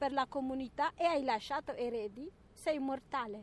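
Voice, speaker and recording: In a dry, close sound with no echo, a woman speaks with an Eritrean accent. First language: Tigrinya (speaking Italian). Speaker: interviewee. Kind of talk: interview.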